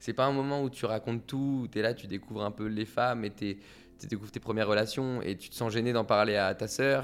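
A man talks in a plain, everyday voice at a medium pitch. His intonation is fairly even and his pace fairly quick. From Paris suburbs, France. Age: 20s. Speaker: author and songwriter. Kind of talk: personal testimony.

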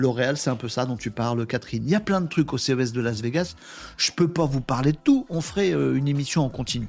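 A man at medium pitch with lively intonation and a fairly quick pace, music playing in the background. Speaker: livestream host. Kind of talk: casual live chat with viewers. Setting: live stream with chat comments. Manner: animated, informal.

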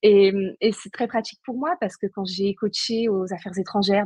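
A woman talks at a moderate pace with medium pitch and ordinary pitch variation. Her voice is somewhat breathy, and the sound is dry and close with no echo. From Brittany, Saint-Nazaire. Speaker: paleoanthropologist and leadership coach. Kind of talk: casual chat. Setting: live video stream.

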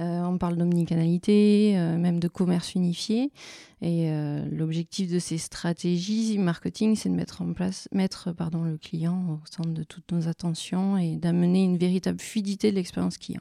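In a very clean recording with a silent background, a woman speaks at a moderate pace with a fairly low pitch. Her tone is dark and mellow, her intonation fairly even, and the sound dry and close with no echo. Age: 30s. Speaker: marketing consultant. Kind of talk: interview. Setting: office.

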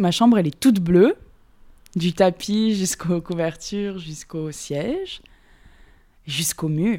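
A very clean recording, silent in the background, carrying lively intonation. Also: woman. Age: 20s. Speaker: roommate being interviewed. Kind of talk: casual chat. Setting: apartment at home.

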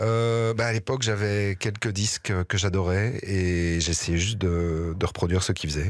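Speaking in a normal speaking voice at a fairly low pitch, a man goes at a fairly slow pace with hardly any pauses, fairly even intonation and very even loudness, in a very clean recording with a silent background. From Belgium, Liège region. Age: 40s. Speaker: actor and musician. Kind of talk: interview. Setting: studio.

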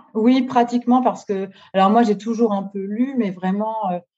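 A woman speaks at a moderate pace in a dark, mellow, somewhat breathy tone. Her pitch varies in an ordinary way. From northern France (Nord-Pas-de-Calais). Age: 30s. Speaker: book influencer. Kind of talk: interview. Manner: hesitant, many fillers.

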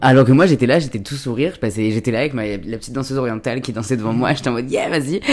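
A man talks very fast with hardly any pauses. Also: medium pitch for a man, ordinary pitch variation. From Paris suburbs (Seine-Saint-Denis). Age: 20s. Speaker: content creator, comedian. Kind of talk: casual chat. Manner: hesitant, many fillers.

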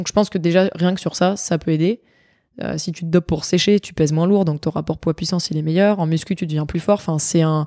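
In a very clean recording with a silent background and a dry, close sound with no echo, a woman with a dark, mellow tone and a fairly low pitch speaks with fairly even intonation. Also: fairly quick pace. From southern France, Nice. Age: 20s. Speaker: pole vaulter and medical student. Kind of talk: interview conversation.

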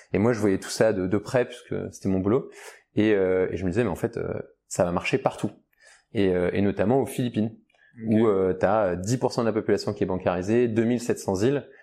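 A man speaks with a fairly low pitch and a dark, mellow tone. His intonation is fairly even, and the recording is very clean with a silent background. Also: moderate pace. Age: 30s. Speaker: startup founder. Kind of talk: casual interview. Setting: studio, video podcast. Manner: hesitant, many fillers.

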